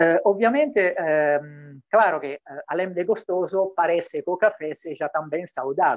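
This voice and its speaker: At a very slow pace, a man in an Italian accent speaks with a high pitch and lively intonation, in a dry sound with no echo over a quiet background. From Italy. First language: Italian (speaking Portuguese). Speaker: diplomat. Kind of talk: welcome speech. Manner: mixes Italian, Portuguese and Spanish. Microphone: video call.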